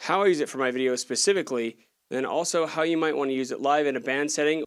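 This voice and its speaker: A man speaks very fast in a fairly high pitch with an energetic tone and ordinary pitch variation, on a very clean recording with a silent background. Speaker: gear reviewer and audio engineer. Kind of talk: tutorial. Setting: studio. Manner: casual, energetic.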